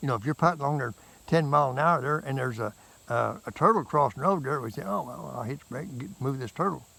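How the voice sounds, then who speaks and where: A man with a bright, sharp tone at medium pitch, talking at a very fast pace, with lively intonation, vocal fry and big swings in loudness. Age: 70s. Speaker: motorcycle vlogger. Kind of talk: casual vlog monologue. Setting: outdoors. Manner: halting, repetitive.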